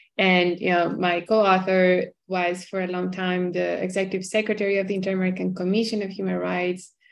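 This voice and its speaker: Against a quiet background, a woman speaks at a fairly quick pace with monotone, flat intonation and hardly any pauses. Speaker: human rights scholar; panelist. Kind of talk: academic panel talk. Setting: video call. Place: home room. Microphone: video call.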